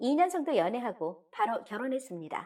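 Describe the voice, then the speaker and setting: This woman's voice sits high in pitch. It moves through very wide pitch swings. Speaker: story narrator reading a submitted story. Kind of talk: dramatic first-person confessional story reading (radio drama style).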